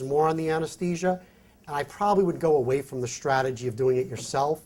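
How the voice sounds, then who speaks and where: A man with a fairly high, somewhat breathy voice speaks with lively intonation in a very clean recording with a silent background. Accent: New York. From New York. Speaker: physician and company executive, conference speaker. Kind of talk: conference presentation with Q&A.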